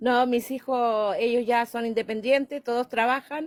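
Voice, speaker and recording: A woman speaks at a fairly slow pace with a high pitch. The sound is dry and close, with no echo. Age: 60s. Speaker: caller. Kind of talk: call-in question.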